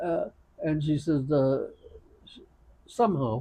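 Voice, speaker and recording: This man's voice has a dark, mellow tone and is somewhat breathy. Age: 80s+. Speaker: elderly storyteller. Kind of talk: casual chat. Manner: halting.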